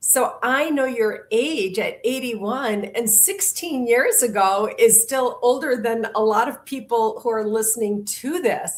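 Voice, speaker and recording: With noticeable background noise behind her, a woman speaks at a fairly slow pace in a high pitch, with ordinary pitch variation and hardly any pauses. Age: 60s. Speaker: podcast host. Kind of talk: interview.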